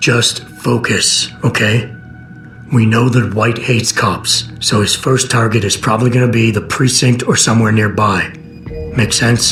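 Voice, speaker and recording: A man speaks in a cartoonish character voice at medium pitch and a moderate pace, with clear music playing behind him. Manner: terse, dry.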